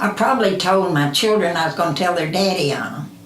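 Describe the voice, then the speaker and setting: A woman with an American accent and a fairly low pitch speaks with ordinary pitch variation, amid noticeable background noise and audible room echo. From Kentucky, Ohio County. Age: 80s+. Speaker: interviewee. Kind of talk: interview answers. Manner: halting.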